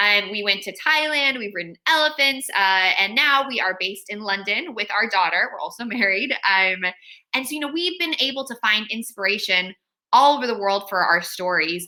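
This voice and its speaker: Lively intonation and a bright, sharp tone mark a woman of medium pitch speaking at a moderate pace. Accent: American. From California. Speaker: children's author. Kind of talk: author talk to school pupils.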